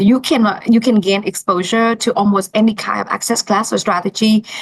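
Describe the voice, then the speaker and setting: A woman with a non-native accent, against noticeable background noise. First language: not English. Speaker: financial planner. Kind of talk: interview answer.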